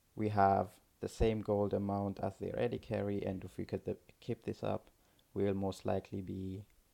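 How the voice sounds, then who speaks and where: Fairly low male speech, flat and monotone in intonation. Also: moderate pace. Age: 20s. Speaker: university student. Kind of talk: gameplay commentary. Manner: hesitant, many fillers.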